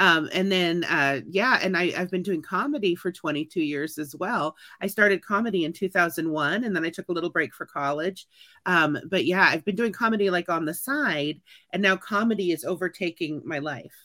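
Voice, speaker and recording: A woman with a Midwestern American accent speaks at a moderate pace and a fairly low pitch. Her tone is animated, bright and sharp, and the sound is dry and close with no echo. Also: ordinary pitch variation. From Kansas City, Missouri. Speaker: teacher and comedian. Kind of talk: interview.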